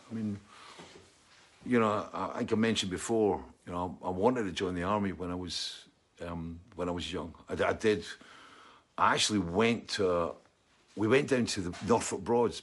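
A man with a Scottish accent talks at a moderate pace in a fairly low pitch. His pitch varies in an ordinary way, with long, frequent pauses. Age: 60s. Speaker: musician and livestream host. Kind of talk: casual chat. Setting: home studio.

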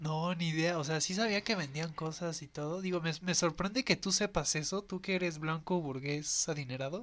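A man with a high pitch and ordinary pitch variation speaks with hardly any pauses on a very clean recording with a silent background. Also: moderate pace. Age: 20s. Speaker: podcast host. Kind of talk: casual chat.

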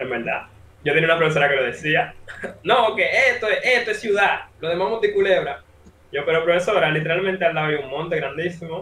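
With ordinary pitch variation and a high pitch, a man talks at a very fast pace. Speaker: interviewer. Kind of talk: casual interview.

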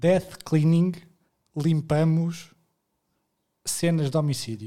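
In a European Portuguese accent, a man talks very slowly with a dark, mellow tone and a fairly high pitch. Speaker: podcast co-host. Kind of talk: casual chat.

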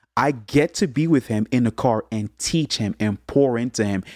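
In an American accent, a man talks at a moderate pace and medium pitch with ordinary pitch variation, an unremarkable speaking voice. The recording is very clean with a silent background and a dry, close sound with no echo. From USA, Haitian parents. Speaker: musician, singer-songwriter and producer. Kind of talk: casual interview chat.

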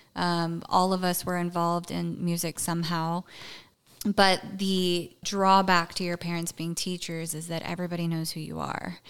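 A woman with a Southern US accent talks at a moderate pace in a fairly low pitch with monotone, flat intonation, on a very clean recording with a silent background. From West Tennessee, US South. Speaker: recovering alcoholic sharing her story. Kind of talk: personal testimony interview.

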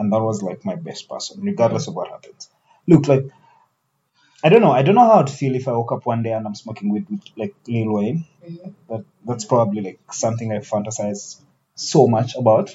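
A man's somewhat breathy, medium-pitched voice at a fairly quick pace, with lively intonation and big swings in loudness. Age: 20s. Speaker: podcast host. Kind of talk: casual chat.

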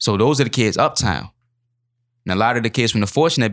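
The recording is very clean with a silent background as a man speaks at a fairly quick pace. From Baltimore City, Maryland. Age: 20s. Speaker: youth street outreach worker and writer. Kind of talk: interview. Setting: studio. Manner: many filler ums.

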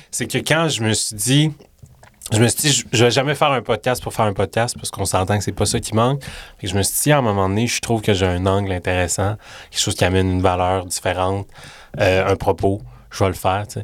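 Speaking with a Quebec accent, a man shows ordinary pitch variation. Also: fairly low pitch for a man, fairly quick pace, very clean recording, silent background. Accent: Québécois French. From Quebec City. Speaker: podcast host. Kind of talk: casual interview. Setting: studio.

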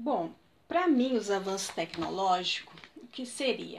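A woman's voice with very wide pitch swings. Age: 30s. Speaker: interviewee, student's mother. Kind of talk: casual interview. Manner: hesitant.

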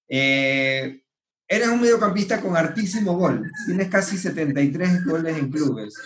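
A man talks at a very slow pace with a high pitch and lively intonation. Room echo can be heard. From Ecuador (Manabí). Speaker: podcast host. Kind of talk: casual interview.

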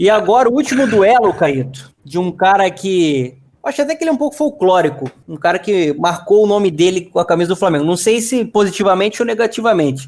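Hardly pausing, a man talks at a fairly quick pace and high pitch, his pitch swinging very widely. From Catete, Rio de Janeiro, Brazil. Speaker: podcast co-host. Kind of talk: casual chat.

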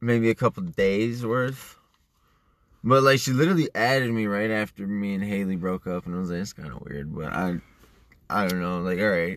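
A man with an unremarkable speaking voice talks at a moderate pace, his fairly low pitch showing ordinary pitch variation. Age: 20s. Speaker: podcast co-host, young father. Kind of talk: casual chat.

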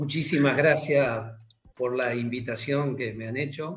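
A man speaks at a very slow pace with ordinary pitch variation. His pitch sits fairly high, and the room echo is audible. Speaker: church teacher. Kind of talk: religious teaching interview.

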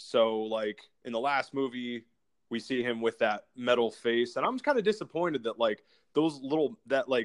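Against a quiet background, a man talks at a moderate pace in a plain, everyday voice with lively intonation, the sound dry and close with no echo. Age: 30s. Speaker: podcast host. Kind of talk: casual chat.

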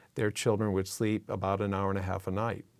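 In a very clean recording with a silent background, a man with an American accent talks at a fairly low pitch with monotone, flat intonation. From Massachusetts. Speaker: neuroscience professor. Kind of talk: interview conversation.

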